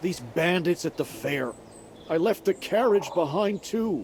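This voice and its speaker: Doing a put-on character voice, a man speaks in a whiny tone at a high pitch and moderate pace, with lively intonation and clear background noise. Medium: video game. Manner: whiny, frightened.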